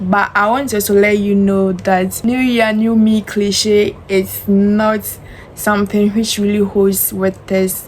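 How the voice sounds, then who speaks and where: Against noticeable background noise, a woman speaks at a very slow pace and medium pitch, in a monotone, flat intonation with very even loudness. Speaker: self-help vlogger. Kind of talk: motivational talk to camera. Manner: loud, confident projection.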